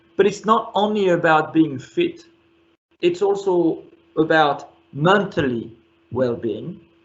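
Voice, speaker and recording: A man with a French accent speaks at a very slow pace, his pitch high and his intonation lively. Long pauses come often, and his loudness stays very even. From France. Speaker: company chief executive. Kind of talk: interview.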